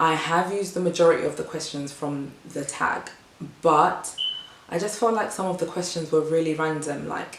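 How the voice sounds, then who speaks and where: Speech at a moderate pace with fairly even intonation comes through audible room echo and noticeable background noise. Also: woman. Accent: British. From England, Ghanaian family. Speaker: vlogger. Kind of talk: casual vlog talk to camera.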